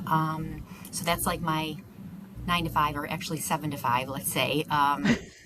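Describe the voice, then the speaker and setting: A woman's very deep, low voice with an American accent, fairly even intonation and a moderate pace, plus audible room echo and noticeable background noise. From Buffalo, New York. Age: 50s. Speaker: finance manager, podcast guest. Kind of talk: casual interview.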